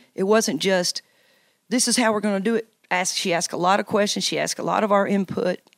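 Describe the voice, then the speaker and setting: A woman with a Tennessee accent speaks at medium pitch in a dry, close sound with no echo. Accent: Southern US (Tennessee). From US South, Tennessee. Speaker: college basketball coach. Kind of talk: interview.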